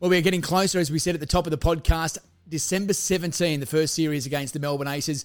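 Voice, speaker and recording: A man with an Australian accent, a fairly high pitch, fairly even intonation, and a very fast pace. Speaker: podcast host. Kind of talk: casual interview; scripted presenting.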